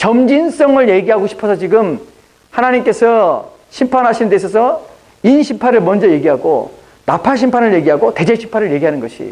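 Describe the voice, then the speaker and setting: Speaking with a high pitch, a man uses lively intonation. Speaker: pastor. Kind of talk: sermon. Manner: fast.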